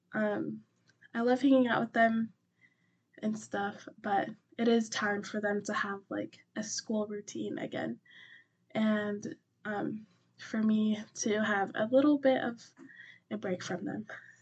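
A somewhat breathy woman with an American accent, fairly high in pitch, her intonation fairly even, at a very slow pace broken by long, frequent pauses. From US, Colorado mountains. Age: 20s. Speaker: book podcast host. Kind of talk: casual chat. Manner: frequent fillers.

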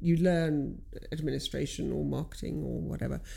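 A woman's voice with audible room echo. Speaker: business owner and coach. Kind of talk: casual chat.

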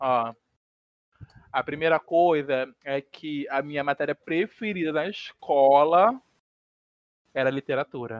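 Fairly high-pitched, a man speaks at a very slow pace with long, frequent pauses. The sound is dry and close with no echo. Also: ordinary pitch variation. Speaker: podcast co-host, gamer. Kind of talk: casual chat.

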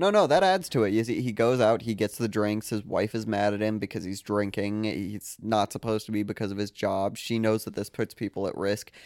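A man with a plain, everyday voice and fairly low pitch speaks at a fairly quick pace with hardly any pauses. The sound is dry and close with no echo, and his intonation is fairly even. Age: 20s. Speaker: podcast host. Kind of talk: casual chat.

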